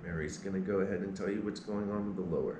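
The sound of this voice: Fast, low-pitched speech from a man, fairly even in intonation, with audible room echo and clear background noise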